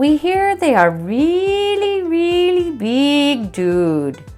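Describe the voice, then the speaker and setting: Over clear music in the background, a woman speaks at a very slow pace in a put-on character voice. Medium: read story.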